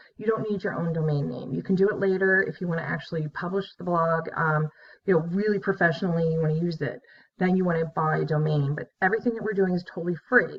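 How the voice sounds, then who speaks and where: Somewhat breathy and fairly low in pitch, a woman speaks at a very fast pace with ordinary pitch variation. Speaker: college instructor. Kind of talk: online course introduction. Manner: casual, filler-heavy.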